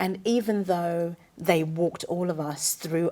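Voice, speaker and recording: A woman with a British accent has a dark, mellow tone. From England. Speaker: journalist. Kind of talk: panel discussion.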